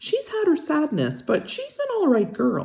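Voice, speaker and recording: In a put-on character voice, the speaker sounds squeaky and high-pitched. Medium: read story. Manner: folksy, gentle.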